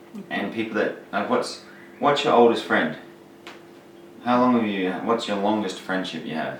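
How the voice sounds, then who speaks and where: A man speaks at a moderate pace with a fairly low pitch and ordinary pitch variation. He leaves long, frequent pauses, and there is noticeable background noise. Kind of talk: casual talk to camera.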